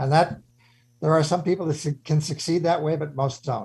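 This man has a normal speaking voice with a fairly high pitch and an American accent. He talks at a moderate pace with ordinary pitch variation. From Chicago. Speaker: radio host, former CEO. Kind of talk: radio interview.

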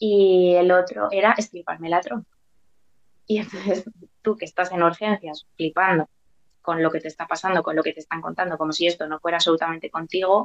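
A woman with a normal speaking voice, fairly low in pitch, with ordinary pitch variation and a fairly quick pace. The sound is dry and close, with no echo. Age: 30s. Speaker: preschool teacher and mother. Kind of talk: personal testimony interview.

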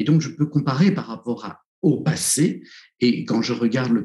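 Dark, mellow male voice at medium pitch, with vocal fry, lively intonation, and a fairly slow pace. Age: 60s. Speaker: psychotherapist and author. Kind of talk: interview. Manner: halting.

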